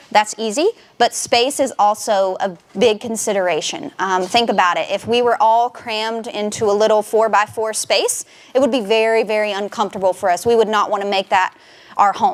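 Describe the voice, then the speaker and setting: Against noticeable background noise, a woman with a Southern US accent talks at a fairly quick pace, her fairly high voice showing ordinary pitch variation. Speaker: nature center education director. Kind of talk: public talk. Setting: presentation room with audience. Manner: loud; frequent fillers (um).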